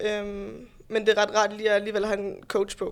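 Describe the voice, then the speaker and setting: A woman speaks at a moderate pace. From Denmark, Roskilde. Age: 20s. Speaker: bodybuilding competitor and fitness instructor. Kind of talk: podcast interview.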